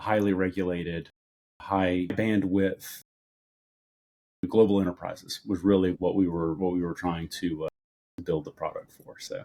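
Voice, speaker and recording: In an American accent, a man talks at a moderate pace with long, frequent pauses. His loudness swings widely. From United States. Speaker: cybersecurity executive. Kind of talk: interview.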